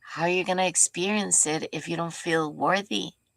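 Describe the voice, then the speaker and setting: Soft-spoken with a gentle tone and vocal fry, the speaker moves at a moderate pace with ordinary pitch variation. The recording is very clean with a silent background and a dry, close sound with no echo. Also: woman. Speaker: spiritual teacher. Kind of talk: spiritual teaching talk. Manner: gentle, heartfelt tone.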